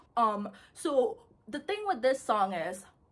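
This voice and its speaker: Somewhat breathy, a woman with an American accent speaks at a fairly slow pace with lively intonation. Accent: American accent, switched from Indian. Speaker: YouTube commentator. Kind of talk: casual video commentary. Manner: casual, many filler words.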